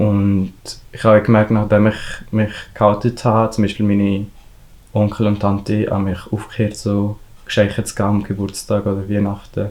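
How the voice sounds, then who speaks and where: This man's voice sits fairly low and stays monotone and flat. He talks at a moderate pace on a very clean recording with a silent background. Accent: Valais. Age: young. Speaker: hairdresser apprentice. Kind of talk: interview answer.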